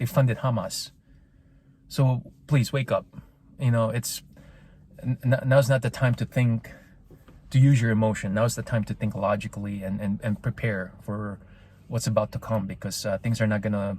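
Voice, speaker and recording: With a non-native accent and a somewhat breathy, medium-pitched voice, a man speaks at a moderate pace with fairly even intonation and long, frequent pauses. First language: not English. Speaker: political commentary podcaster. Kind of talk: opinion monologue. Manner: halting, repeats words; passionate.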